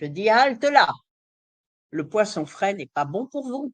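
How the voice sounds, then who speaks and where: Very wide pitch swings from a woman speaking at a very slow pace. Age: 70s. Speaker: nutrition specialist. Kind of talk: lecture. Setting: live online conference.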